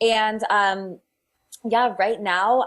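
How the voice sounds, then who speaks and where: Moving at a very slow pace, a woman talks with ordinary pitch variation. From southern California. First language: Spanish. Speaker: fitness instructor. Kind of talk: podcast interview. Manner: halting, many fillers.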